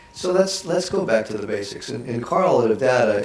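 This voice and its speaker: Talking at a very fast pace, a man uses ordinary pitch variation. Noticeable background noise runs underneath. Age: 60s. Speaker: author and keynote speaker. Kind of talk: talk show interview.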